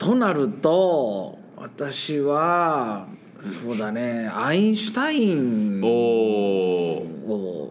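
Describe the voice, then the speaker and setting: At a very slow pace, a man speaks at medium pitch with very wide pitch swings, and the room echo is audible. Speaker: science teacher. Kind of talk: casual interview chat. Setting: sharing one microphone in a studio. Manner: laughs often.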